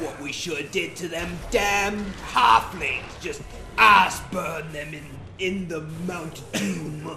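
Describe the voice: A man puts on a high-pitched character voice at a fairly slow pace. Clear background noise can be heard.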